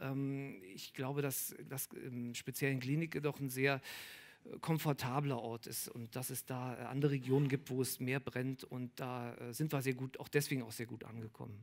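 A man's monotone, flat delivery at a moderate pace, with big swings in loudness. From Berlin. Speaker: artist; guest. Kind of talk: public Q&A discussion. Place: bar. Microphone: headset.

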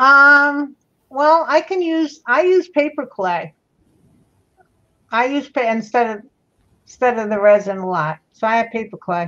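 A woman speaks loudly and fairly slowly in a high, bright, sharp voice, with very wide pitch swings and long, frequent pauses against a quiet background. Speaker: crafter; livestream host. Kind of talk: casual chat. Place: home room. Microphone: webcam.

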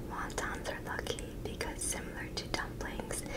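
A whispering voice moves at a fairly slow pace. Noticeable background noise sits behind it. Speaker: ASMR mukbang creator. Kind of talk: ASMR eating show talk to camera. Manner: whispered.

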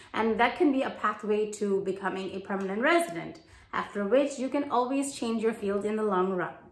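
The voice moves at a moderate pace with ordinary pitch variation, and room echo is audible. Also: woman. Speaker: career advice vlogger. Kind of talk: advice vlog talk. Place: home room.

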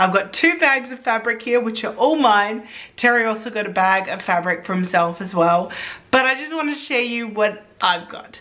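A woman speaks in a bright, sharp tone. Her intonation is lively. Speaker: sewing vlogger. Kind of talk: casual vlog chat. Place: home room.

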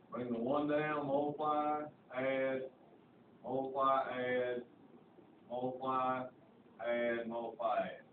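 The speaker has a Southern US accent. Audible room echo and noticeable background noise are present. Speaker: high school math teacher. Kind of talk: classroom lecture. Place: classroom. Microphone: camera far.

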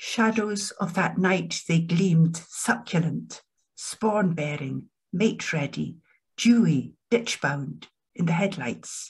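A woman speaks very slowly in a fairly low pitch with vocal fry. Her pitch varies in an ordinary way, and the background is quiet. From Edinburgh, Scotland; Scotland. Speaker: poet and academic; poet. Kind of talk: poetry reading. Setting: video call. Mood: calm, reflective. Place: home room. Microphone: webcam.

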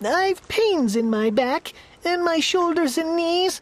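Using a put-on character voice, a woman talks slowly at an extremely high pitch with lively intonation.

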